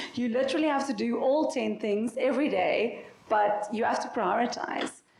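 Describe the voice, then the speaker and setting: A woman talks with ordinary pitch variation. Noticeable background noise can be heard. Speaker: company founder and CEO, panelist. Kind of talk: panel discussion.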